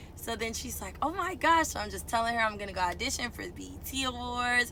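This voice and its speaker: A woman's animated voice over noticeable background noise. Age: 20s. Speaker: truck driver and aspiring singer. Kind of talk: casual storytime talk to camera. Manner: outgoing, animated.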